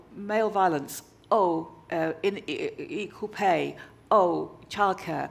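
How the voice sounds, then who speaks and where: Speaking at a very slow pace, a woman talks with vocal fry. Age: 60s. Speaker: arts festival founder. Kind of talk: on-stage interview. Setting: stage with audience. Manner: halting.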